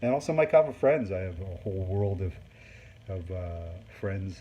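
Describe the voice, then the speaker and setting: Speaking at a moderate pace, a man has a fairly low pitch and a dark, mellow tone that is somewhat breathy. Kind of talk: product review talk to camera.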